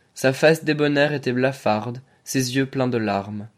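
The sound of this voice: Ordinary pitch variation, carried by an unforced reading voice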